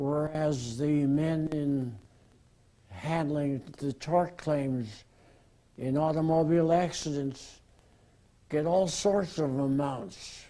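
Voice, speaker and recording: A man's very slow delivery, fairly high in pitch with a dark, mellow tone, ordinary pitch variation, and long, frequent pauses. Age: 80s+. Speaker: retired workers' compensation lawyer. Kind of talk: interview.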